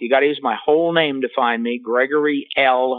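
Using an ordinary speaking voice, a man with a fairly high pitch and ordinary pitch variation talks at a moderate pace. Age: 60s. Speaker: psychologist and author. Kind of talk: podcast interview.

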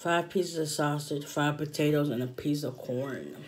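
A woman's very deep, low voice, fairly even in intonation, at a fairly slow pace. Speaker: mukbang vlogger. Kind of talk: casual vlog chat. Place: home room. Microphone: phone near.

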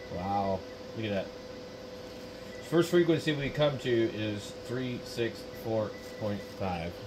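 Over clear background noise, a man speaks slowly at a fairly low pitch with ordinary pitch variation.

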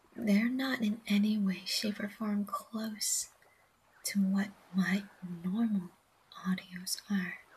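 A woman's slightly mellow voice with a husky, rough edge, medium pitch, fairly even intonation, and a slow pace.

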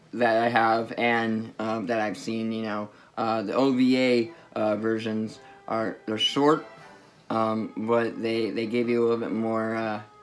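A man talks at a fairly slow pace in a monotone, flat intonation. Faint music plays in the background. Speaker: anime reviewer. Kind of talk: casual vlog chat. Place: home room. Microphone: phone near.

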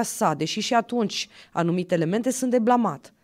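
With lively intonation, a woman speaks at a moderate pace against a quiet background. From Romania, Sibiu county; Romania. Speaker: county councillor and university assistant; county councillor. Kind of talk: podcast interview. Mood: earnest, moralizing tone. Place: studio. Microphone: studio mic.

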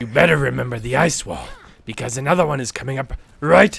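At a very fast pace, a man does a put-on character voice at a medium pitch. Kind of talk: mock-sinister villain voice. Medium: game stream. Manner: menacing, seductive, gloating.

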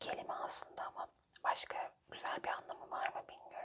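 In a whisper, the woman delivers her words very slowly. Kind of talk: ASMR whisper word-search puzzle with gum chewing. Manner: whispered.

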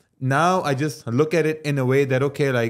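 In a quiet background, a man talks at a fairly quick pace. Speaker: podcast guest. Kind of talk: interview answer. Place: studio. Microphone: studio mic.

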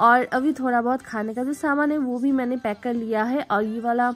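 This woman speaks at a high pitch and a moderate pace. Her pitch varies in an ordinary way.

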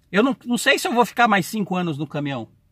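In a raised, projected voice, a man speaks high-pitched and fairly quickly, his tone bright and sharp and his intonation lively, with a quiet background and dry, echo-free sound. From Brazil. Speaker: truck driver YouTuber. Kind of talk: casual vlog Q&A. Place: car. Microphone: phone near.

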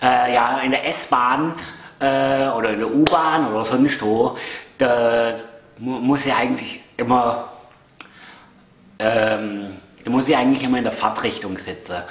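A man speaks in a Swabian accent at a very slow pace, with long, frequent pauses. Audible room echo fills the recording. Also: ordinary pitch variation. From Swabia, Germany. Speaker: vlogger. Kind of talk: casual talk to camera. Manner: hesitant, chatty. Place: home room. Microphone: camera far.

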